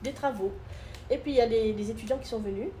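Woman's fairly high-pitched voice at a fairly quick pace, with ordinary pitch variation. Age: 50s. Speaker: ecologist and hotel co-manager. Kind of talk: interview. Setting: on location at a mountain hotel-restaurant. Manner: halting, frequent repetitions.

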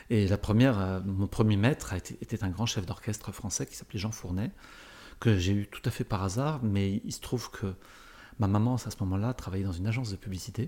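Dark and mellow in tone, a man's fairly low voice moves at a moderate pace with fairly even intonation. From France, Paris area. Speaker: orchestra conductor and corporate speaker. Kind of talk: interview.

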